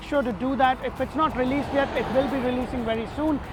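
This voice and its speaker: Someone speaks with a non-native accent over noticeable background noise. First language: not English. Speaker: real estate agent, community video host. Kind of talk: informational vlog presentation.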